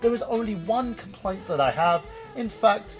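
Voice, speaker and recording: With music in the background, a man speaks at a moderate pace in a British accent. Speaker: video game reviewer. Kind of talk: video game review to camera.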